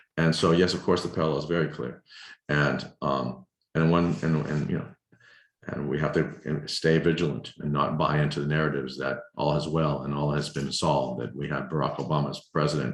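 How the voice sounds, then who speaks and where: Speaking at a fairly quick pace, a man uses vocal fry at a very deep, low pitch with fairly even intonation. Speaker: filmmaker. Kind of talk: lecture Q&A over video call. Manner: halting, many repetitions.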